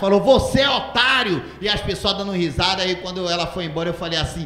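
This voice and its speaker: A man talks at a very fast pace. His pitch varies in an ordinary way, and the room echo is audible. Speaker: stand-up comedian. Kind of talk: stand-up comedy storytelling. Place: stage. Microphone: handheld.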